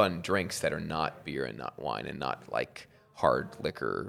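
A man's vocal fry at a fairly slow pace, on a very clean recording with a silent background. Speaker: brewery founder. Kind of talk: casual chat.

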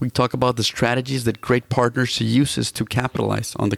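Using vocal fry, a man talks at a fairly quick pace and medium pitch, the sound dry and close with no echo. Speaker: podcast host. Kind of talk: interview, scripted intro.

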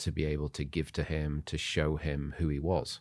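A man with an English accent speaks at a very deep, low pitch. The recording is very clean, with a silent background. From Zimbabwe, moved to England at nine. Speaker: church leader. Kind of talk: casual chat, testimony. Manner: halting, many fillers.

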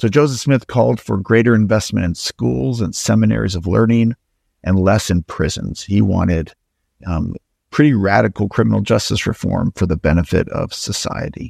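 With an American accent, a man speaks at a very deep, low pitch with vocal fry and very wide pitch swings. The sound is dry and close with no echo, on a very clean recording with a silent background. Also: moderate pace. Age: 40s. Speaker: historian and author. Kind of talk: interview.

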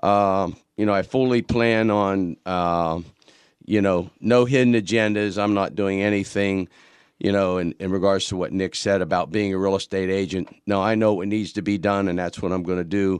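A man with an American accent talks in a normal speaking voice at a moderate pace. His pitch is fairly low, his intonation fairly even, and the background quiet. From Pittsburgh, Pennsylvania. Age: 50s. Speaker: county councilman. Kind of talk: radio interview.

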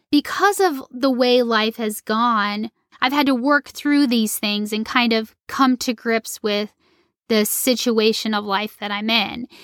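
With an unremarkable speaking voice, a woman of fairly high pitch speaks at a fairly slow pace with ordinary pitch variation, in a very clean, dry, close recording with no echo and a silent background. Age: 40s. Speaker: podcast co-host. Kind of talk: casual chat.

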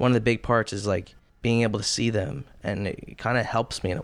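With fairly even intonation, a man's voice sits at a medium pitch. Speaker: mental health counselor. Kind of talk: casual chat. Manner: soft-spoken.

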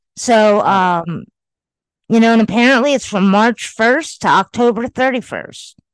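A woman's fairly high-pitched, unremarkable speaking voice, fairly slow and very even in loudness, with ordinary pitch variation over a quiet background. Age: 50s. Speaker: podcast co-host. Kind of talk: casual chat. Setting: recording remotely from her home.

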